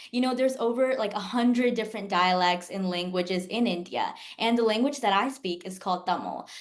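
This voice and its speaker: A woman with an American accent speaks at a moderate pace in an unremarkable speaking voice, her fairly high pitch showing ordinary variation. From US South, Jacksonville, Florida. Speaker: pre-med student. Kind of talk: interview.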